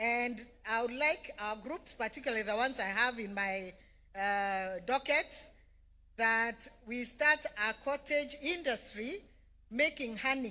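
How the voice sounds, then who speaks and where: With a Kenyan accent, a woman speaks at a fairly high pitch in a bright, sharp tone with lively intonation and long, frequent pauses, on a very clean recording with a silent background. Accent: Kenyan (Meru) English. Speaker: politician. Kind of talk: public speech.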